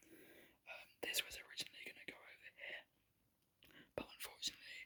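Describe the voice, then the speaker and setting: Someone whispers at a fairly quick pace. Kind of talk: ASMR whispered tour talk to camera. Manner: whispered, soft-spoken.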